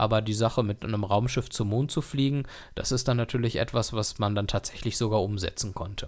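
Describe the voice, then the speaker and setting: This man talks at a fairly quick pace in a plain, everyday voice, medium-pitched with fairly even intonation. The recording is very clean, with a silent background. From Germany, Dortmund (Ruhr area). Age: 30s. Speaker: podcast host. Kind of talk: solo podcast monologue.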